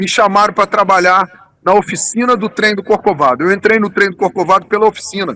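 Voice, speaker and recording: In a raised, projected voice, a man speaks at a high pitch with a bright, sharp tone, in a dry, close sound with no echo. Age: 60s. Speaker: tourism businessman, engineer. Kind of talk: interview. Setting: remote interview.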